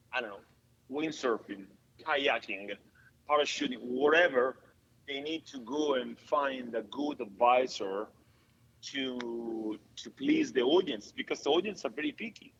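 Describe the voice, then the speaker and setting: A man with an Italian accent speaks at a fairly slow pace and a medium pitch, with ordinary pitch variation. His loudness swings widely, and he leaves long, frequent pauses. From Italy. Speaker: stuntman and actor. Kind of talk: casual interview chat. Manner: halting, many fillers.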